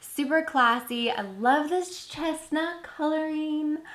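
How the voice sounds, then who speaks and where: A woman speaks over noticeable background noise. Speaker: beauty and lifestyle YouTuber. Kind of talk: product unboxing. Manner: animated.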